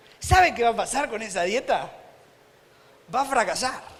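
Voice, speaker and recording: A man speaks in an animated tone with an Argentine accent. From Argentina. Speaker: preacher. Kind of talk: sermon.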